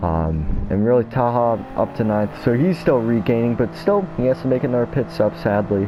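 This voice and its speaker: Over noticeable background noise, a man with an American accent speaks at a medium pitch with lively intonation, very even loudness and hardly any pauses. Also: moderate pace. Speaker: sim racing gamer, commentating own race. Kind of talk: casual race replay commentary. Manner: casual, many filler words.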